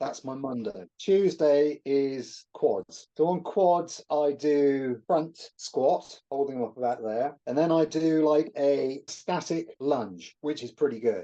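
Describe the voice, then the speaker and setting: A man with a British accent and a fairly high pitch talks at a very slow pace with hardly any pauses, his dark, mellow tone carrying ordinary pitch variation. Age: 60s. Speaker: natural bodybuilder. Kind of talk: interview answer.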